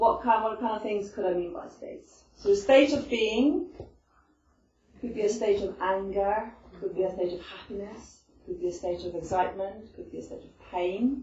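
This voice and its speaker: A woman with an Icelandic accent speaks at a moderate pace in a fairly high voice, her intonation lively. Her loudness swings widely, and audible room echo surrounds her. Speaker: stress management presenter. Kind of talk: talk to a group. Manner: conversational, with many fillers.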